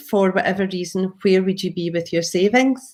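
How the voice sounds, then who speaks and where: A woman is speaking. She has a Glaswegian accent. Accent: Glaswegian Scottish. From Scotland, Glasgow. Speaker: property investor and trainer. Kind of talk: presentation.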